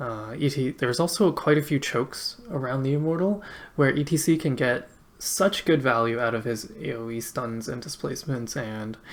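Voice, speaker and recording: At a moderate pace, the speaker talks with a slight Canadian accent. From Canada. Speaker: esports caster. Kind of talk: live commentary. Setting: live stream. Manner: casual, filler-heavy.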